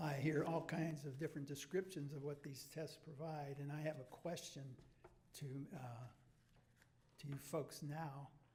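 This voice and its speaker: A man speaks in a fairly high, somewhat breathy voice with monotone, flat intonation. He leaves long, frequent pauses, and the room echo is audible. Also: moderate pace. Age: 80s+. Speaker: member of the public asking questions. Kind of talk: public question at press conference. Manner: halting.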